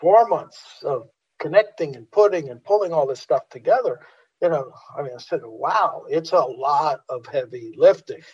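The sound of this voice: A man's fairly high voice, slightly husky at the edge, at a fairly slow pace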